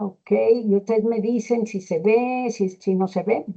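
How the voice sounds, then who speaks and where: Speaking at a very slow pace, a woman keeps her intonation fairly even. Her pitch sits fairly high. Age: 60s. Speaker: gerontology lecturer. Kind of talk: lecture. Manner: halting.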